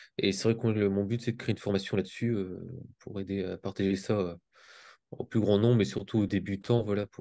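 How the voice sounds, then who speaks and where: Over a quiet background, a man speaks in a dark, mellow tone at a fairly low pitch with fairly even intonation. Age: 20s. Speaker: crypto trader. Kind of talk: self-introduction in group video meeting. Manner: halting, many fillers and repetitions.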